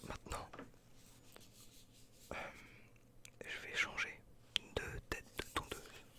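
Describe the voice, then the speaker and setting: Whispering very slowly, the speaker leaves long, frequent pauses. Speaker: ASMR creator. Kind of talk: ASMR roleplay as a barber. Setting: studio, close microphone.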